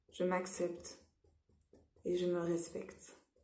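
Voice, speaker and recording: Amid audible room echo, a woman with a dark, mellow tone speaks at a very slow pace. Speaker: EFT practitioner. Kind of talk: guided tapping session.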